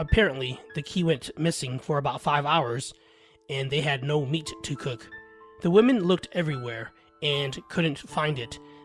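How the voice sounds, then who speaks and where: Putting on a character voice, a man sounds raspy at a fairly high pitch, with ordinary pitch variation and a moderate pace, while faint music plays in the background. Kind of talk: spooky first-person storytelling. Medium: read story.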